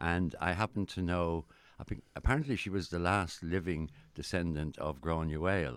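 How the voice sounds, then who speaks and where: A man with an Irish accent, a very deep, low pitch, ordinary pitch variation, and a moderate pace. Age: 70s. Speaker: actor. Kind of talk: casual chat. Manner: halting.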